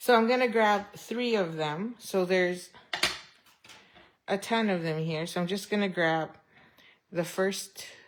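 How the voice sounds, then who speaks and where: Her intonation lively, a woman drawls out her words at a very slow pace. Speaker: papercraft demonstrator. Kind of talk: tutorial. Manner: casual, thinking aloud.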